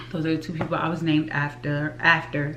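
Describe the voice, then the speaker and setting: Amid noticeable background noise and audible room echo, a woman with a very deep, low pitch speaks at a moderate pace with ordinary pitch variation. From US South, Richmond, Virginia. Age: 20s. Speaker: YouTube vlogger and flight attendant. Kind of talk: casual vlog talk to camera.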